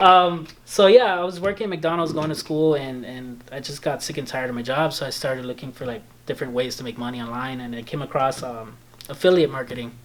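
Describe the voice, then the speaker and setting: A very fast-paced man with a slight Belizean accent and ordinary pitch variation. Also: medium pitch for a man, big swings in loudness. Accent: slight Belizean Creole-tinged English. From Belize (born in El Salvador). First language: Spanish. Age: 20s. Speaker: video editor and photographer. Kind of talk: casual chat.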